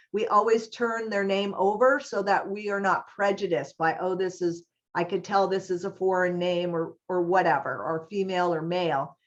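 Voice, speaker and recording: A woman speaks at a moderate pace with an American accent, in an ordinary speaking voice. Her pitch is medium and rises and falls in an ordinary way. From US East Coast, New York. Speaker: HR trainer and college staff. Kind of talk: webinar training presentation. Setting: online webinar.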